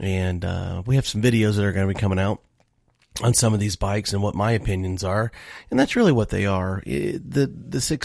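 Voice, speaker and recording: A man with a fairly low pitch speaks at a fairly quick pace with ordinary pitch variation. The recording is very clean, with a silent background. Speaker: motorcycle podcast host. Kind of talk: casual podcast monologue. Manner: fast.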